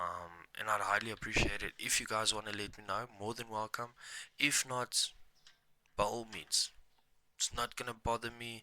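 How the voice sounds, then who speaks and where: Speaking at a moderate pace in a bright, sharp tone, a man keeps a medium pitch and a monotone, flat intonation, pausing long and often. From South Africa, Mpumalanga. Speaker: gaming streamer. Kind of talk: gameplay commentary. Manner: casual, halting with fillers; quiet at times.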